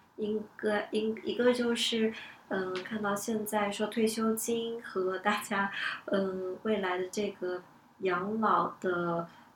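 Over noticeable background noise, a woman speaks at a very slow pace with fairly even intonation. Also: medium pitch for a woman. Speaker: event planner. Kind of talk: casual discussion podcast.

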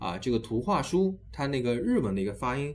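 Quick-paced and lively in intonation, a man talks at a fairly low pitch with vocal fry. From Shanghai, China. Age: 30s. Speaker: education podcast host. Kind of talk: casual interview chat.

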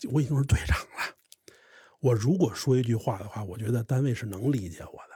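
A man speaks fairly quickly at a medium pitch, his tone dark, mellow and somewhat breathy. His pitch varies in an ordinary way on a very clean recording with a silent background. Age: 30s. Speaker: crosstalk comedian. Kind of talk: interview storytelling.

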